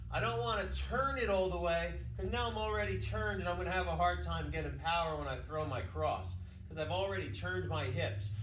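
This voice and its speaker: A man talking at a fairly quick pace, with audible room echo and light background noise. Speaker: boxing coach. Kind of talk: tutorial. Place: gym. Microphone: camera far.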